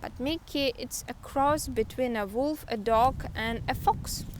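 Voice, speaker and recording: Speaking fairly slowly with a Russian accent, a woman uses a high pitch. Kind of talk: book review talk to camera. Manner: hesitant, many filler sounds.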